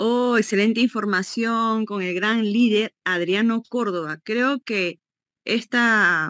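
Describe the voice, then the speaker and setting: Against a quiet background, a woman speaks with a bright, sharp tone and a fairly high pitch. Her pitch variation is ordinary and the sound is dry with no echo. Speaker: event host. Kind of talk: event presentation. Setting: video call.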